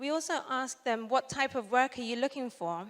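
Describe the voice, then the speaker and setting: A high-pitched woman's voice with a British accent at a moderate pace. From UK. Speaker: social entrepreneur. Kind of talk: conference talk.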